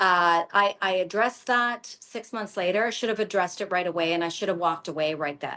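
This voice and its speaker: A woman speaks at a medium pitch with ordinary pitch variation. The background is quiet. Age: 50s. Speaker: business coach. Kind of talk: masterclass talk. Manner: halting, with many false starts.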